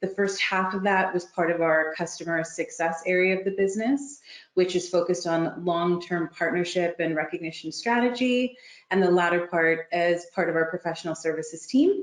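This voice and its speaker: A woman with a strong Canadian accent, fairly low in pitch, at a moderate pace with ordinary pitch variation and very even loudness. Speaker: recognition programme consultant. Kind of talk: webinar panel discussion. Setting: online webinar.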